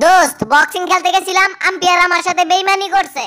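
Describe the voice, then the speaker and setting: A woman puts on a squeaky character voice at an extremely high pitch, speaking at a moderate pace with ordinary pitch variation. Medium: cartoon. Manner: loud, colloquial.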